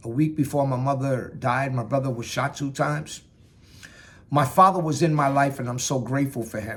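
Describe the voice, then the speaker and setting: In a New York accent, a man talks at a medium pitch with ordinary pitch variation. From New York, Bronx/Yonkers. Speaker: Marine veteran speaking on mental health. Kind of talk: personal testimony talk.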